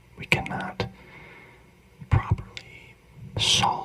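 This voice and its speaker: A person whispers. There is noticeable noise in the background. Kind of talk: ASMR whispered talk on philosophy. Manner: whispered.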